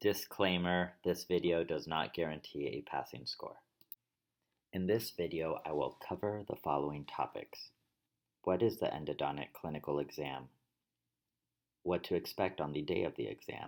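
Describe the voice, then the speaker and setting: A man with a very deep, low pitch and vocal fry speaks at a moderate pace with ordinary pitch variation and long, frequent pauses. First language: Spanish. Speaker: dentist and dental educator. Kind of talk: tutorial. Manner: formal.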